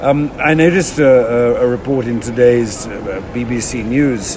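There is noticeable background noise and audible room echo as a man talks at a medium pitch. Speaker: podcast host. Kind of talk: interview. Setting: airport. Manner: halting.

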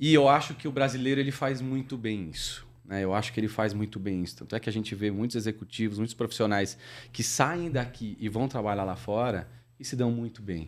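In a very clean recording with a silent background, a man talks at a fairly quick pace with medium pitch and ordinary pitch variation. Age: 40s. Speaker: logistics operations director. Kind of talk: interview. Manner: hesitant, many filler words.

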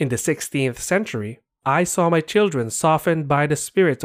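On a very clean recording with a silent background, a man speaks in a normal speaking voice, fairly high in pitch, with ordinary pitch variation at a moderate pace. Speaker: narrator reading a preface aloud. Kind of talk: scripted reading of a 1930s sermon-style text, solemn and oratorical. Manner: solemn, measured, rhetorical, building in grandeur.

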